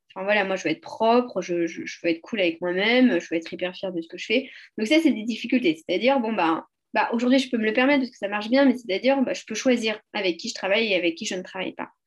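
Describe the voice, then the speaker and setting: A woman's very fast, fairly high-pitched speech, with lively intonation and big swings in loudness. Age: 30s. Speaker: entrepreneur in youth career guidance. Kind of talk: casual interview.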